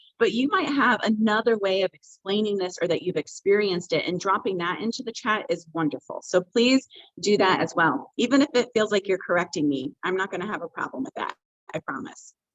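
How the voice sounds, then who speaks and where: A woman at a medium pitch, fairly quick pace and lively intonation. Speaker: diversity trainer. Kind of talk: online training presentation. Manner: fast.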